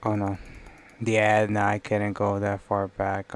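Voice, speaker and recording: Soft-spoken, this person keeps to a fairly slow pace. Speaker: livestreamer doing 3D design. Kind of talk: live stream commentary while working. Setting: live stream screen share.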